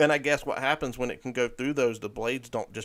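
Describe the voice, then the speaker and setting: A man's plain, everyday voice, medium in pitch, at a fairly quick pace, on a very clean recording with a silent background. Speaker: livestream podcast host. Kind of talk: casual livestream chat.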